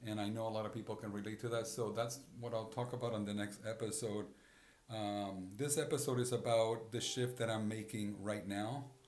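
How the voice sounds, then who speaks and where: In a space with audible room echo, a man speaks at a medium pitch with fairly even intonation. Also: fairly quick pace. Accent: Spanish. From Puerto Rico. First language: Spanish. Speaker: podcast host. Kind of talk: personal reflective monologue. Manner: halting, frequent repetitions and fillers.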